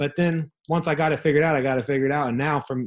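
Talking at a very fast pace, a man speaks in an American accent. His intonation stays fairly even. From Southern California (Ontario). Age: 30s. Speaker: real estate entrepreneur.

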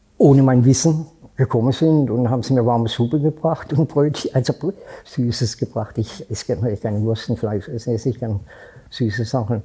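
With a dark, mellow tone and a somewhat breathy quality, a man at medium pitch speaks at a moderate pace with ordinary pitch variation. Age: 70s. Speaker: homeless man. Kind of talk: interview.

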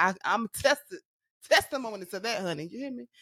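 With an ordinary speaking voice, a woman talks at a fairly quick pace and lively intonation. The very clean recording has a silent background and a dry, close sound with no echo. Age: 20s. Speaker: podcast co-host. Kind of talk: casual chat.

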